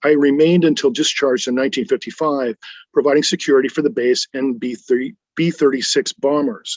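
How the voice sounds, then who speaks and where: This is an ordinary speaking voice. It has an American accent. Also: man. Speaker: US Air Force veteran. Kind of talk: first-person veteran memoir narration.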